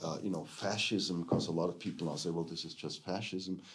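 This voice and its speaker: Speaking in a German accent, a man with a very deep, low pitch is heard with audible room echo. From Germany. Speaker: theology professor. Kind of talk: lecture. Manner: halting, many fillers.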